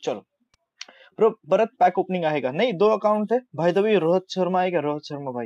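A man with an Indian accent speaks at a moderate pace in a high voice, his intonation lively and the sound dry and close with no echo. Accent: Indian English, Hindi speaker. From Maharashtra, India. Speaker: gamer livestreamer. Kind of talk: live game commentary. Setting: live stream. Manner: excitable, reacting aloud to goals.

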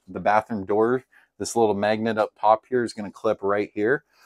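A plain, everyday voice comes from a man with a fairly low pitch at a moderate pace. The sound is dry with no echo, and there is light background noise. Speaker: RV salesman. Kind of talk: product walkthrough tour. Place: home room. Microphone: camera far.

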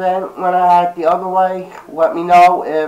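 The voice is a man's, high in pitch. Noticeable background noise runs underneath. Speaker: vlogger, gaming YouTuber. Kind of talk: casual vlog talk to camera. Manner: halting, many fillers.

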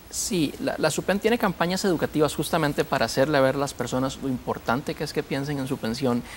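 A man talking at a very fast pace, with light background noise. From Costa Rica. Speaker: pension regulator official; guest. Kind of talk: TV panel discussion. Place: studio. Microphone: lapel.

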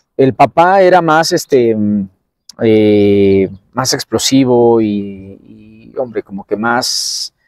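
Very slow and lively in intonation, a man talks at a medium pitch in a dry sound with no echo and a quiet background. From Mexico City (Tacubaya); Mexico City. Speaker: bullfighter (banderillero); interviewee. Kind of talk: interview. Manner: halting, many fillers. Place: open country.

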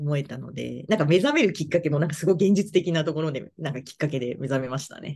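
A woman's very deep, low voice with a dark, mellow tone and vocal fry, racing along very fast with hardly any pauses and big swings in loudness, against a quiet background. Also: ordinary pitch variation. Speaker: fortune teller; interviewee. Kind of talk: interview; interview answer. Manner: halting. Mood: friendly, smiling. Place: home room. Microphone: video call.

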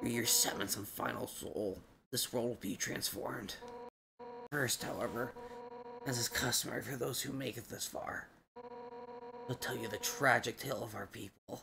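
Using a put-on character voice, a man speaks at a moderate pace with long, frequent pauses. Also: medium pitch for a man. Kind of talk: dramatic battle speech. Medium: virtual streamer. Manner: defiant, menacing, passionate.

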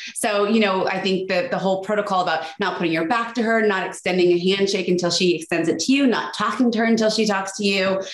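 Hardly pausing at all, a woman with an American accent races along at a very fast pace, her intonation fairly even and her loudness very even, with an audible echo from the room. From United States. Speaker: etiquette expert. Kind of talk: interview. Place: home room. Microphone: video call.

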